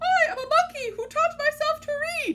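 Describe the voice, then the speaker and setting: Moderate pace and extremely high pitch in a put-on character voice. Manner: silly, comical.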